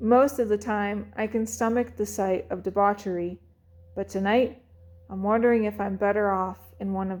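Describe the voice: Fairly even intonation in plain reading aloud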